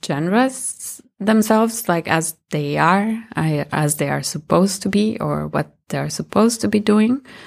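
Speaking with a Spanish accent, a woman uses a medium pitch and ordinary pitch variation at a very slow pace. The recording is very clean, with a silent background. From Colombia. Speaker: musician and sound artist. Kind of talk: interview.

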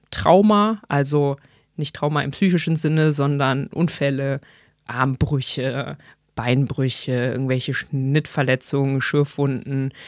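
Her voice is very deep and low for a woman, and she talks at a fairly slow pace. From Rhineland, Germany (Bonn). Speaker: physician. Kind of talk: casual interview. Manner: hesitant, many filler sounds.

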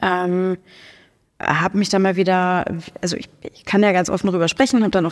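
Recorded very cleanly against a silent background, a woman talks at a fairly quick pace and medium pitch. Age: 30s. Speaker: powerlifter and sports club co-founder. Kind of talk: casual interview. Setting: studio.

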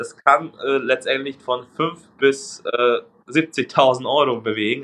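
This is a man talking. He has a Hungarian accent. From Hungary. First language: Hungarian (speaking German). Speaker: recruiting agency co-founder. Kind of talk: interview.

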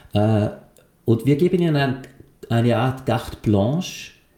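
A man with a Swiss accent speaks in a medium pitch. His voice is somewhat breathy, with a dark, mellow tone. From Switzerland, Lucerne. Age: 50s. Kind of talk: casual interview.

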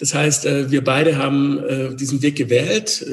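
Noticeable background noise around a man's medium-pitched voice. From Swabia, near Stuttgart. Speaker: communication coach and former actor. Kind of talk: interview conversation.

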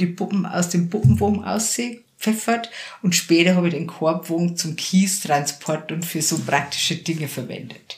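In a Bavarian accent, a woman speaks at a moderate pace with a fairly low pitch and ordinary pitch variation. Background noise is noticeable. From Lower Bavaria, rural area near Passau. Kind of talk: casual interview. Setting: her practice.

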